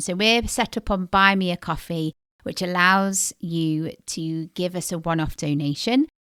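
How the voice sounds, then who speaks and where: A British accent at a fairly slow pace, bright and sharp in tone, on a very clean recording with a silent background and a dry, close sound with no echo. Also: woman. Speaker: podcast co-host.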